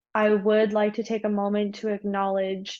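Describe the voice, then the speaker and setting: Against a quiet background, a woman with a Canadian accent and fairly even intonation speaks in an ordinary speaking voice. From Canada, Vancouver. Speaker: research student. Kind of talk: prerecorded research presentation.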